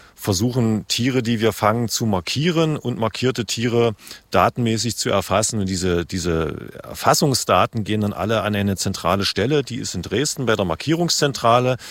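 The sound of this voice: At a moderate pace and with few pauses, a man talks in a fairly low pitch with ordinary pitch variation.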